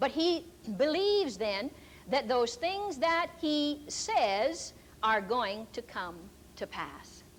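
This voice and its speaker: Loud and with very wide pitch swings, a woman's voice rings out. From rural farm upbringing. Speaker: Bible teacher and healing minister. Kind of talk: sermon.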